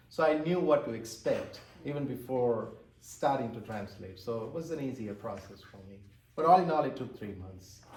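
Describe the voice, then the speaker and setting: A man speaks with an Indian accent at a medium pitch and a moderate pace, his intonation lively. His loudness swings widely, and room echo is audible. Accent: Indian English (Tamil). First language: Tamil. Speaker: author and translator. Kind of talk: interview. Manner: halting.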